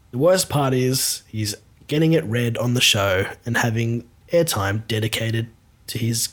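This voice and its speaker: This man has an ordinary speaking voice at medium pitch with ordinary pitch variation. His pace is fairly slow. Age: 30s. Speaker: podcast host and band member. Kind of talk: comedic casual chat.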